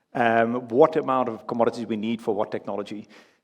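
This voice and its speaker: Against a quiet background, a man with a Dutch accent talks at a fairly quick pace with a medium pitch. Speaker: panel moderator. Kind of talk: conference panel moderation. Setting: stage at a conference.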